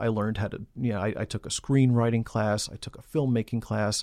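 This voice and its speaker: A man talks at a medium pitch in a plain, everyday voice on a very clean recording with a silent background. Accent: American. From New York City (Queens). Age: 30s. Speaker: recovering alcoholic. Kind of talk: testimony.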